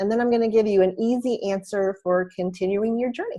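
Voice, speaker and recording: At a moderate pace, a woman talks at a medium pitch in a normal speaking voice. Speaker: course creation consultant. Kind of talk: webinar presentation. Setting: webinar call.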